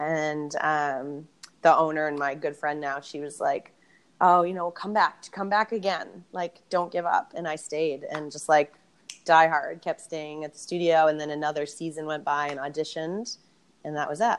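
With an American accent, a woman speaks at a moderate pace in a very deep, low voice with fairly even intonation. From Boston, US. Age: 30s. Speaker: yoga and barre instructor with PhD. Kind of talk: casual interview chat.

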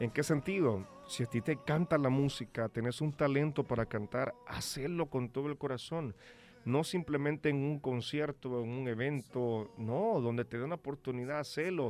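At a moderate pace, a man with a Salvadoran accent speaks at a fairly high pitch with ordinary pitch variation. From El Salvador. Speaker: singer. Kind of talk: radio interview. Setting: radio studio.

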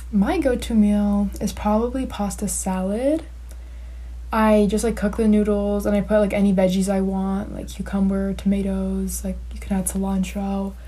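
With an American accent, a woman talks at a moderate pace against noticeable background noise. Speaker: college student. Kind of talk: recorded interview.

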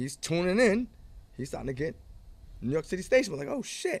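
With an American accent, a man talks in a voice whose pitch swings very widely. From New England, US. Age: 50s. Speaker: DJ and high school teacher. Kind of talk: casual interview chat.

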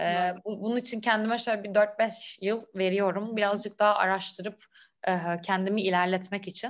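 The speech moves at a moderate pace. Its intonation is flat and monotone. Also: woman, medium pitch for a woman. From Istanbul, Turkey. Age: 20s. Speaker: French teacher, Instagram creator. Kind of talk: casual interview. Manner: hesitant, many fillers.

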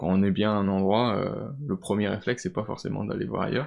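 An unremarkable speaking voice uses ordinary pitch variation. The background is quiet. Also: man. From France, Vosges. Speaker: engineering student. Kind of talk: interview.

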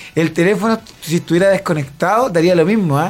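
A man talks at a fairly quick pace with lively intonation. Background noise is noticeable. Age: 40s. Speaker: comedian. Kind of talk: comedic radio banter.

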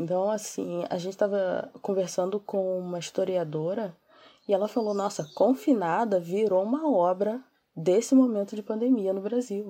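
This woman has a dark, mellow tone at medium pitch, speaking at a moderate pace with ordinary pitch variation. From Brazil, Niterói, Rio de Janeiro. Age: 30s. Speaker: comic writer and social media influencer. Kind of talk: interview.

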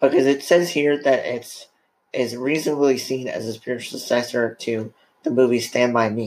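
He has an ordinary speaking voice at a medium pitch. Fairly even intonation marks this man's fairly quick delivery. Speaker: podcast host. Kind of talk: casual chat. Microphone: too close to the mic.

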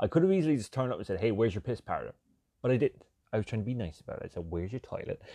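Animated in tone, a man swings very widely in pitch, recorded dry and close with no echo. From Ireland. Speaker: podcaster. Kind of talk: casual comedic monologue.

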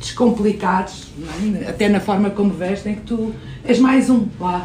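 A woman with a fairly high pitch and fairly even intonation speaks at a fairly slow pace, with audible room echo and noticeable background noise. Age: 50s. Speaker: innovation executive and startup investor. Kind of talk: interview.

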